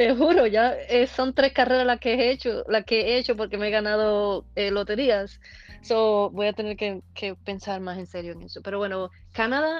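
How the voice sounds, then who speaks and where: Using a plain, everyday voice, a woman talks at a moderate pace in a fairly high pitch, with ordinary pitch variation and big swings in loudness. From eastern Cuba (Holguín). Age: 40s. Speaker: amateur runner. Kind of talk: casual interview.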